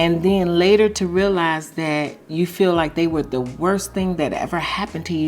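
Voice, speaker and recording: Music plays in the background as a woman with a fairly low pitch speaks at a moderate pace with ordinary pitch variation. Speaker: YouTube commentary vlogger. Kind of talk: casual commentary monologue.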